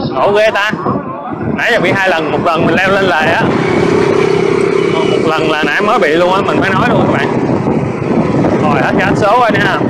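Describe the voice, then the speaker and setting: A man talks at a moderate pace with ordinary pitch variation and long, frequent pauses. Loud background noise sits behind him. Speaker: electric scooter reviewer. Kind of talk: casual ride commentary. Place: motorbike. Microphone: camera far.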